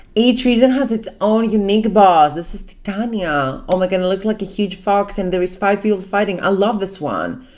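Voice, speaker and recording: Her voice sits at a medium pitch with ordinary pitch variation and an animated tone. The woman talks at a moderate pace with hardly any pauses. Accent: non-native. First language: not English. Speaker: gaming reaction youtuber. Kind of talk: reaction commentary.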